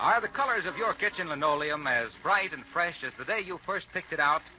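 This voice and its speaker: Lively in intonation and very fast, a man talks over noticeable background noise. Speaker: radio announcer. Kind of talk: old-time radio commercial read.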